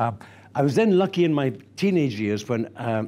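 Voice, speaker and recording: A man speaks at a moderate pace with a Scottish accent. His tone is dark, mellow and warm, with lively intonation. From Scotland. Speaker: actor and theatre director. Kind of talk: archive interview answer. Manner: warm, anecdotal, expressive. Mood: warm, nostalgic storytelling. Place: office. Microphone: lapel.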